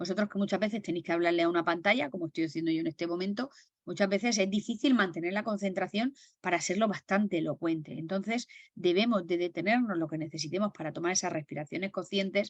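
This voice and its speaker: At a very fast pace, a woman speaks at medium pitch with ordinary pitch variation, in a dry, close sound with no echo. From Murcia, Spain. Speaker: stress management trainer. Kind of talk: webinar lecture. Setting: video call. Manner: carefully enunciated.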